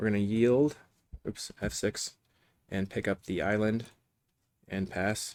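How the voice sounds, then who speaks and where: Over a silent background in a very clean recording, a man talks at a fairly low pitch and a fairly slow pace, with fairly even intonation. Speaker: gaming video creator. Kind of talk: gameplay commentary.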